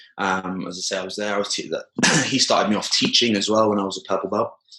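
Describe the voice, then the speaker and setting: In a British accent, a man speaks very fast in a monotone, flat delivery, his pitch fairly low. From southern England, Poole/Bournemouth. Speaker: jiu-jitsu coach. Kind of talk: podcast interview. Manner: hesitant, many fillers.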